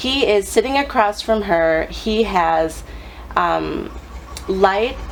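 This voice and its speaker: A woman's medium-pitched voice with lively intonation, over noticeable background noise. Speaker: psychic reader. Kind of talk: psychic reading video monologue. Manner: hesitant with many um fillers.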